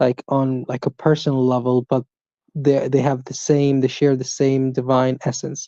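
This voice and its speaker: A woman with an Arabic accent speaks at a moderate pace in a very deep, low, monotone voice with a dark, mellow tone, the sound dry and close with no echo. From Saudi Arabia. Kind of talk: religious debate. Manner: hesitant, with fillers.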